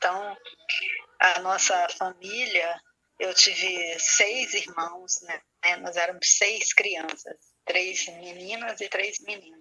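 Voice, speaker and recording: Speaking at a very slow pace, a woman with a medium pitch keeps fairly even intonation while her loudness swings widely. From Brazil, Rio de Janeiro suburb. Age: 60s. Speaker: spiritual leader. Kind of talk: interview. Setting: radio program.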